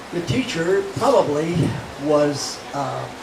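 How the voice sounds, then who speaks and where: There is noticeable background noise behind this man. He speaks with an American accent at a fairly high pitch. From Colorado, USA. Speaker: Dust Bowl survivor. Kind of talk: reminiscing talk to an audience.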